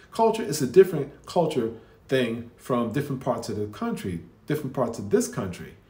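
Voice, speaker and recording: Audible room echo surrounds a man talking at a fairly quick pace with very wide pitch swings. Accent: American. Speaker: commentator reacting to videos. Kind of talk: casual reaction commentary. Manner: halting, with many restarts.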